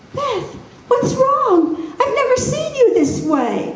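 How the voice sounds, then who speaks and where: A woman does a put-on character voice, squeaky and extremely high-pitched, speaking at a fairly slow pace with a slight echo. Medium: read story. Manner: timid, fearful.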